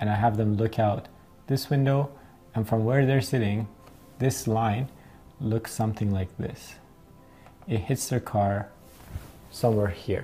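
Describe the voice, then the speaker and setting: Faint music plays in the background as a man talks with ordinary pitch variation. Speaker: driving instructor. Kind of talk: tutorial. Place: home room.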